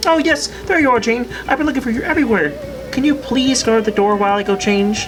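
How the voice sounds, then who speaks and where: A cartoonish character voice at a fairly high pitch, heard over loud background noise. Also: female-sounding voice, fairly quick pace. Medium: puppet. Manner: frantic, stammering.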